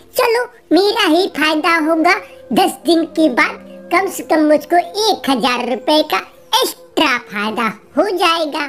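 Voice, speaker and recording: A cartoonish character voice speaks at a high pitch and a fairly slow pace. Music plays in the background. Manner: simple, earnest.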